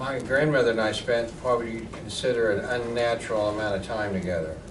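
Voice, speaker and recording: Someone with an American accent speaks at a moderate pace amid audible room echo and noticeable background noise. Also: man. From Tulsa, Oklahoma. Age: 60s. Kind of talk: public talk. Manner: casual, conversational.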